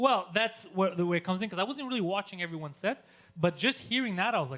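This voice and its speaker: Very fast, raised and projected, a man's high, bright, sharp voice with an animated tone and lively intonation. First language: not English (English is third language). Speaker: comedian. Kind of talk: casual chat.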